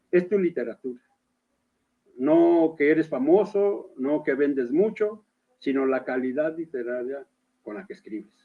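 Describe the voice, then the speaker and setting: The clip features a man speaking at a fairly slow pace. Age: 60s. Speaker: writer and poet. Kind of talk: interview. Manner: halting.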